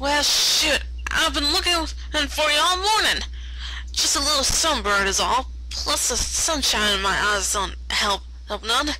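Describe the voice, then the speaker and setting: A drawling, put-on character voice at a fairly slow pace over loud background noise. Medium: read story. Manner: folksy, drawling.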